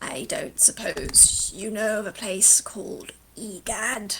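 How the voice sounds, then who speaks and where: A put-on character voice with a fairly high pitch rumbles and hisses at a fairly slow pace. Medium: actual play. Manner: insulting, haughty, grumbling.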